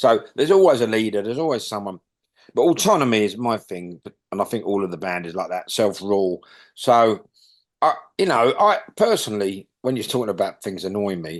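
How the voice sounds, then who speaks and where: A man with a London accent, fairly low in pitch, at a fairly quick pace, with ordinary pitch variation, big swings in loudness and a quiet background. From London, England. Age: 60s. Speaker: punk bass player. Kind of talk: interview. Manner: halting.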